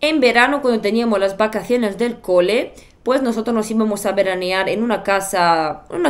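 In a Bulgarian accent, a woman talks at a moderate pace, her pitch varying in an ordinary way. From Bulgaria, Sofia. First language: Bulgarian (speaking Spanish). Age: 30s. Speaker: YouTuber. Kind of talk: personal storytelling vlog. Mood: reflective, personal storytelling. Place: home room.

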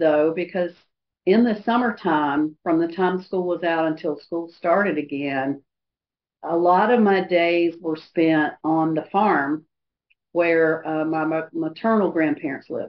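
A woman's very slow speech, fairly low in pitch with ordinary pitch variation. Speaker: AA speaker sharing recovery story. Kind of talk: testimony. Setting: video call meeting. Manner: halting, frequent pauses and fillers. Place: hall.

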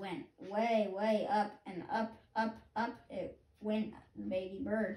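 The reading aloud is done in a natural voice, and the intonation stays fairly even.

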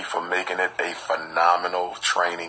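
Light background noise sits behind a man speaking at a very deep, low pitch. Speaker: speaker. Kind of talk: casual vlog chat. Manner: drowsy, slow talk from bed. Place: home room. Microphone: phone near.

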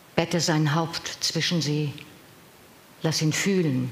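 Against audible room echo, a woman speaks at a very slow pace in a very deep, low voice with a solemn, dramatic tone. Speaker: professional voice actor reading poems. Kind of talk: poem reading. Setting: live event with audience. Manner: measured, solemn, dramatic delivery with deliberate pauses; trained, clear, expressive diction. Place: hall.

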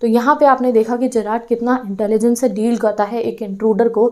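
Against a quiet background, the tone comes across dark and mellow. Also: woman. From India. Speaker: teacher. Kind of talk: lecture. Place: classroom. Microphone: lapel.

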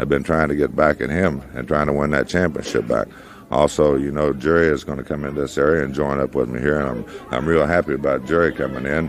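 The speech comes at a very fast pace in a monotone, flat intonation over noticeable background noise. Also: man, very deep, low pitch for a man. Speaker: pro wrestler in interview. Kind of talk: wrestling promo, archive interview clip.

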